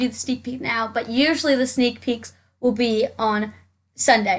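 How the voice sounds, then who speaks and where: A woman talks loudly in a high pitch with fairly even intonation. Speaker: Sims game YouTuber. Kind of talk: gameplay commentary. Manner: fast.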